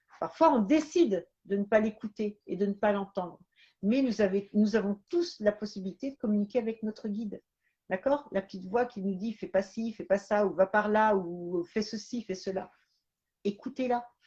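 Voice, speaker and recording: A woman's somewhat breathy, dark, mellow voice at a medium pitch, with ordinary pitch variation and a moderate pace. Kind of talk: live stream talk. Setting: live stream. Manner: halting.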